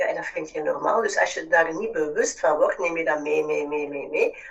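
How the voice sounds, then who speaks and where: A woman speaks at a moderate pace. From Flanders, Belgium. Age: 40s. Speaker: business mentor. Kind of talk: casual chat.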